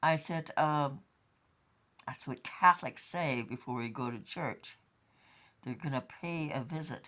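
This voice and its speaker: At a fairly slow pace, a woman with a very deep, low pitch talks with ordinary pitch variation and long, frequent pauses. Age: 60s. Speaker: vlogger. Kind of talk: casual monologue vlog.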